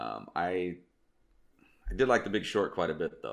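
A man talks at a moderate pace. His pitch is very deep and low, with vocal fry. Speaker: podcast co-host. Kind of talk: casual chat.

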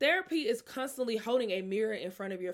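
A loud woman with an American accent speaks in a fairly high pitch, with very wide pitch swings and an animated tone. The recording is very clean, its background silent. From Mississippi, US South. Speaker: podcast host and author. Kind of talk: casual solo podcast chat. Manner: loud, animated, casual.

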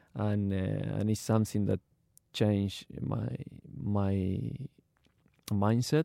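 A man with an Argentine accent speaks at a very slow pace. His fairly low pitch, dark, mellow tone, and ordinary pitch variation stand out. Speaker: retired footballer, academy founder. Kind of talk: casual interview. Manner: halting.

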